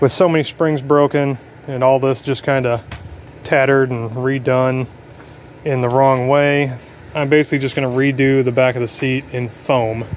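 At a moderate pace, the speech comes through with light background noise. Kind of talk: casual DIY narration. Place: street. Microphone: phone near.

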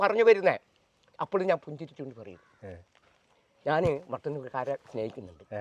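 Recorded dry and close with no echo, a man talks at a fairly high pitch with very wide pitch swings. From Kerala, Aluva/Nedumbassery (Ernakulam). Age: 50s. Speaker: manual worker interviewed about his life. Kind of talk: personal life story interview.

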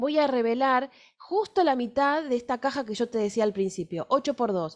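A woman's high voice with an Argentine accent, very wide pitch swings, a moderate pace and a quiet background. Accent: Argentine Spanish (Rioplatense). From Argentina. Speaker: fashion illustration teacher; fashion drawing teacher. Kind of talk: workshop lecture with live drawing; lecture. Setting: recorded video workshop, on camera. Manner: hesitant, many fillers. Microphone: webcam.

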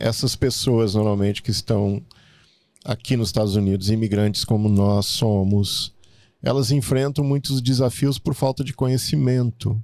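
A man with a dark, mellow tone speaks at a fairly slow pace with ordinary pitch variation against a quiet background. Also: dry sound with no echo. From Brazil, Rio Grande do Sul. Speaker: podcast host. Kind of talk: interview. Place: studio. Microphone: studio mic.

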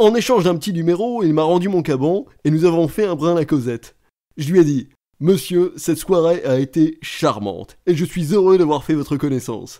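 Here a man talks at a moderate pace with a high pitch. His tone is dark and mellow, and his intonation lively. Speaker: reader performing comic monologue.

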